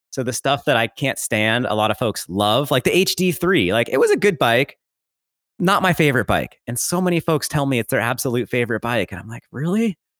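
Speaking at a fairly quick pace with lively intonation, a man uses a medium pitch and an American accent. The recording is very clean and dry, close with no echo, over a silent background. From California, Santa Cruz Mountains. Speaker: mountain bike content creator. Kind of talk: casual interview chat. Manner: animated.

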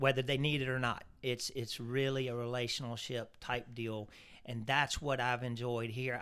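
Medium-pitched and flat in intonation, a man speaks in a monotone with a Southern US accent. The recording is very clean, its background silent. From Louisiana. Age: 50s. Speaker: turf products sales rep. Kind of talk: casual interview.

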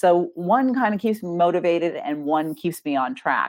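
A woman speaks at a moderate pace with lively intonation in an unremarkable speaking voice. The recording is very clean, with a silent background. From US Northeast. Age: 50s. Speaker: author and ghostwriter. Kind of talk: interview.

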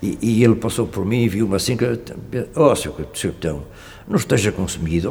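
A man with fairly low pitch and lively intonation at a fairly quick pace, over noticeable background noise. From Portugal, Gafanha da Nazaré (Aveiro). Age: 80s+. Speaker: retired cod fisherman. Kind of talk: oral history testimony. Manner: halting.

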